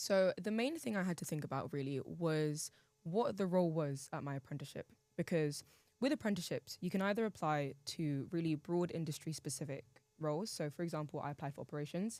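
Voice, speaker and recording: A woman's fairly low, dark, mellow voice in a London accent, at a fairly quick pace with ordinary pitch variation. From England, East London. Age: 19. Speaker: university student. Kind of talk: podcast debate.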